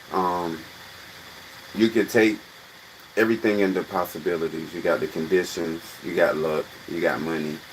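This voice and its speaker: Against noticeable background noise, a man with a very deep, low pitch and ordinary pitch variation speaks at a moderate pace with long, frequent pauses. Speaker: livestream host, comedic commentator. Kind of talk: casual livestream chat. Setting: live stream.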